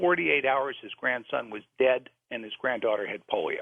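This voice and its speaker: Here is a plain, everyday voice, a man's at medium pitch with an American accent. He talks at a moderate pace. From US South, New Orleans. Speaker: author. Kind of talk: radio interview.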